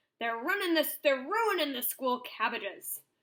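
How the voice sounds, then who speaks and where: A woman puts on a gruff, growling character voice, high in pitch and at a moderate pace. Her pitch swings very widely. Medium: read story.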